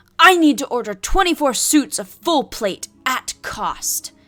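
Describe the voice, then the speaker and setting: Over music in the background, a put-on character voice moves at a fairly slow pace. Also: woman, high pitch for a woman. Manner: gruff, rude, commanding.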